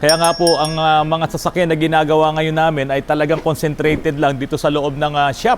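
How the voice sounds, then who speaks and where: With a fairly high pitch and a moderate pace, a man talks in an ordinary speaking voice. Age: 50s. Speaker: auto repair shop owner and vlogger. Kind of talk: casual vlog talk. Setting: auto repair shop.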